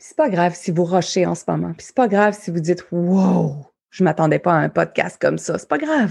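A woman speaks at a moderate pace with a Quebec accent. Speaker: life coach and podcast host. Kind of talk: motivational talk. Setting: live audience recording.

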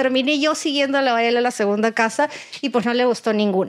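With fairly even intonation, a woman speaks at a moderate pace in a high pitch. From Peru. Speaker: real estate broker. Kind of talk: casual chat.

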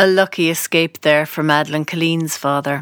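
With an Irish accent, a woman speaks at a moderate pace in a fairly low voice. The recording is very clean with a silent background, and the sound is dry and close with no echo. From west of Ireland. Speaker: podcast host and producer. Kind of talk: scripted narration.

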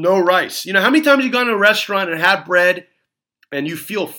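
A man speaks in a raised, projected voice with a high pitch. His tone is bright and sharp, and his intonation lively. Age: 40s. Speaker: dentist and podcast host. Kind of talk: solo podcast monologue. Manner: casual, filler-heavy.

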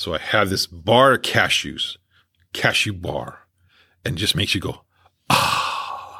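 A man talks very slowly, with long, frequent pauses. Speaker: podcast host and coach. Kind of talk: solo podcast monologue.

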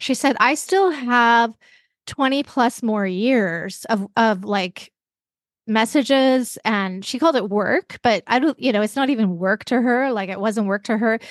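Fairly slow, animated speech from a woman with a Canadian accent and a fairly high voice, ordinary pitch variation, a dry, close sound with no echo and a quiet background. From western Canada. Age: 50s. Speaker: podcaster and podcast instructor, former caregiver. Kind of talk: casual interview conversation.

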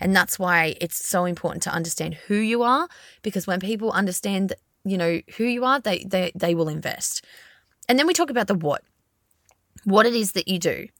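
On a very clean recording with a silent background, a woman speaks with an Australian accent and ordinary pitch variation. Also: medium pitch for a woman, fairly quick pace, dry, close sound with no echo. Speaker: podcast host, brand agency founder. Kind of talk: solo podcast monologue. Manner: fast.

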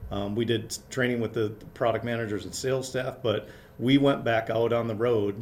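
A man with an American accent talks at a moderate pace and medium pitch. His tone is slightly mellow and his intonation fairly even.

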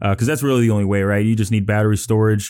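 On a very clean recording with a silent background, a man speaks with an American accent. His fairly low voice stays monotone and flat. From Chicago, Illinois. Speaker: solar company owner. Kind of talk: interview.

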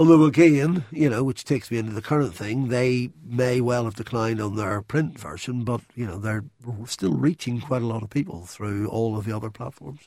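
A man talks at a moderate pace with a Northern Irish accent and a dark, mellow tone. His pitch is medium, with ordinary variation. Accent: Northern Irish (Belfast). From Northern Ireland, Belfast. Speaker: magazine industry executive. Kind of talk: interview. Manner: hesitant, with fillers.

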